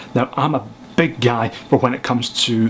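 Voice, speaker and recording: A man talks in a Scottish accent. Noticeable background noise sits behind him. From Scotland. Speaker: filmmaker and photographer. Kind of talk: casual film review to camera.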